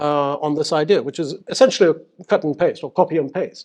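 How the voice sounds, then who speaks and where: Against a quiet background, a man speaks with a slight British accent, his voice fairly high-pitched and his pitch varying in an ordinary way. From UAE, schooled in the UK. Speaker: seminar speaker, Emirati official. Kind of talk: public talk. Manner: halting, many fillers.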